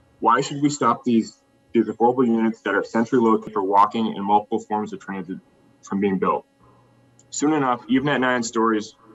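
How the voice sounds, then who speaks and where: Speaking at a fairly quick pace with an American accent, a man has an unremarkable speaking voice. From Cambridge, Massachusetts, US. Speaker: public commenter at zoning hearing. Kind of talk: public comment. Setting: remote video meeting.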